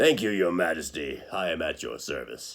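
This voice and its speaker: A man's raspy put-on character voice, fairly low in pitch, at a moderate pace. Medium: read story.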